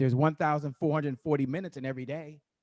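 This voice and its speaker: A man with an American accent speaks in an animated tone at a fairly high pitch. The sound is dry and close, with no echo. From Washington D.C. area / Virginia. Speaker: marketer and motivational speaker. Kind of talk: motivational talk.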